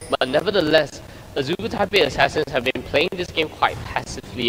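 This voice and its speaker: A man races through his words at a very fast pace, his pitch varying in an ordinary way, with music playing behind him. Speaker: esports caster. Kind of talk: live commentary. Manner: soft-spoken.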